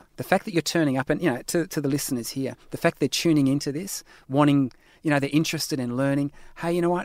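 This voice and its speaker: An Australian man talks at a very fast pace in a fairly high voice. The recording is very clean, with a silent background and a dry, close sound free of echo. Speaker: lifestyle medicine academic and author. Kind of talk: interview.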